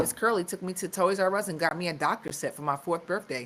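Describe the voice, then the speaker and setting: An ordinary speaking voice from a woman with an American accent, fairly low in pitch, at a moderate pace with ordinary pitch variation. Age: 40s. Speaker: podcast host. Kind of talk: live stream wellness talk. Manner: casual, conversational.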